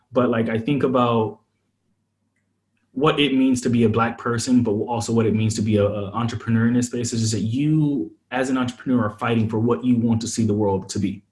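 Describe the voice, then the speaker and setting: With an American accent, this somewhat breathy voice moves at a fairly quick pace and keeps a fairly even intonation. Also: man, medium pitch for a man. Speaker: startup founder, former venture investor. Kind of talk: podcast interview. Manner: casual, many fillers.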